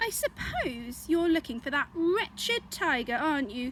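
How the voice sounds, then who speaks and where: A woman's gruff, put-on character voice, high-pitched, at a moderate pace over clear background noise. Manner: grumpy, weary.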